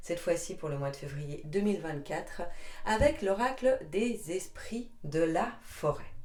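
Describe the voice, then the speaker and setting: Her pitch is medium, but it swings very widely as this woman speaks at a very slow pace. Noticeable background noise and audible room echo fill the recording. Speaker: tarot card reader. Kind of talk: tarot reading to camera. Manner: chatty, hesitant.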